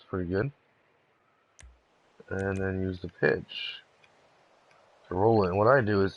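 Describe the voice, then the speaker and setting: This quiet man speaks fairly slowly at a fairly low pitch, with fairly even intonation. His loudness swings widely, and he leaves long, frequent pauses. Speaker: gaming streamer. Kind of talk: live game-building tutorial. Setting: live stream. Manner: casual.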